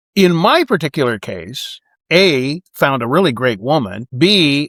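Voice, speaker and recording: In an ordinary speaking voice, the speaker goes at a fairly slow pace with lively intonation. The recording is very clean, its background silent. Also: man. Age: 60s. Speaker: expat vlogger. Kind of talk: casual monologue to camera. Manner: conversational.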